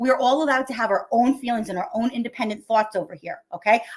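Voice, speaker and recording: A woman with an American accent talks at a very fast pace and fairly high pitch. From New York area. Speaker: live streamer. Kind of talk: casual chat. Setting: live stream. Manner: loud.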